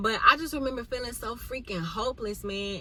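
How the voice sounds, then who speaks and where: A woman speaks at a moderate pace with a bright, sharp tone and ordinary pitch variation. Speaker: vlogger. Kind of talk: casual chat.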